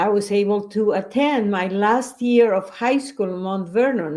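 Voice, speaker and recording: A woman speaks with a Spanish accent. Her pace is fairly slow. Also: very clean recording, silent background. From Bolivia. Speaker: educator. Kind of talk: interview.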